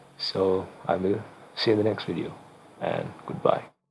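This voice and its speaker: With a Sri Lankan accent, a man with a fairly low pitch speaks at a moderate pace over noticeable background noise. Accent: Sri Lankan, non-native English. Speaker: game development tutorial creator. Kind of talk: tutorial. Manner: halting.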